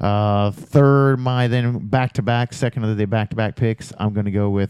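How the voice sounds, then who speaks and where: In a plain, everyday voice, a man talks at a fairly slow pace with a fairly low pitch and ordinary pitch variation, in a dry, close sound with no echo. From Louisville area, Kentucky/Indiana. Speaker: pastor, camp board president. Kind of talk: casual chat. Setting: camp canteen, remote location.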